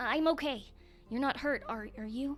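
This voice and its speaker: Using a put-on character voice, a woman speaks high in pitch at a moderate pace. Background noise is clearly audible. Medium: read story. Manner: calm, reassuring.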